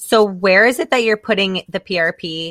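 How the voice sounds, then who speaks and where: In an American accent, a bright, sharp voice moves at a moderate pace with ordinary pitch variation, the sound dry and close with no echo in a very clean recording with a silent background. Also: woman. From US South. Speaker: podcast host. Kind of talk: casual chat.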